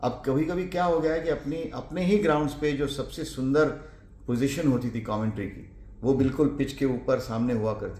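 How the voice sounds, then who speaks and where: The voice moves at a moderate pace with lively intonation, and audible room echo surrounds it. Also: man. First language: Marathi (speaking Hindi). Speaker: cricket radio commentator. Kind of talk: interview.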